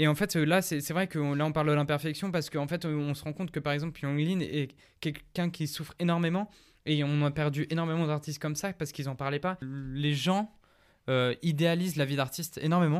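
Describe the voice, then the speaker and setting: A man's ordinary speaking voice, fairly high-pitched, at a fairly quick pace with fairly even intonation, on a very clean recording with a silent background. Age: 20s. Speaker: musician. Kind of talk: casual chat.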